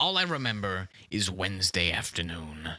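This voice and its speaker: This man puts on a character voice. His pitch sits very deep and low. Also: moderate pace. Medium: comedy sketch. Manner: rambling, defensive, repeats "listen" and "okay"; confidently absurd.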